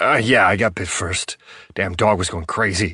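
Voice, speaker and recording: A man puts on a raspy character voice, very deep and low, delivered at a moderate pace with fairly even intonation. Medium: read story. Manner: defensive, colloquial.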